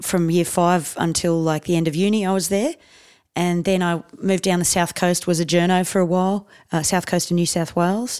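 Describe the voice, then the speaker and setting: A woman with an Australian accent talks at a fairly quick pace and a fairly low pitch, in a monotone, flat intonation with very even loudness. The recording is very clean, with a silent background. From Australia, raised partly in India. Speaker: comedian. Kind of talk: casual chat.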